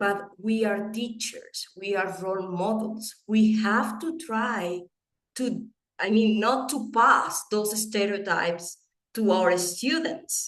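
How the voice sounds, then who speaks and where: With a Venezuelan accent, a woman speaks at a very slow pace. Her pitch is fairly high. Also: ordinary pitch variation. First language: Spanish. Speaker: English teaching educator and presenter. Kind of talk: webinar presentation. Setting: online webinar. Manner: animated.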